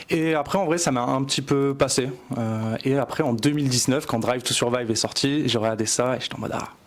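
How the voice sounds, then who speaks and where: This man speaks fairly quickly at a medium pitch with fairly even intonation. There is noticeable background noise. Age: 20s. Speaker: motorsport photographer. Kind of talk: casual interview.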